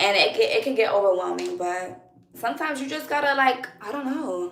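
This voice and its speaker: Loud and energetic, a woman talks at a high pitch with lively intonation and a fairly quick pace. Noticeable background noise and audible room echo are present. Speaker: live streamer. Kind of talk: live stream chat with viewers. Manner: loud, energetic.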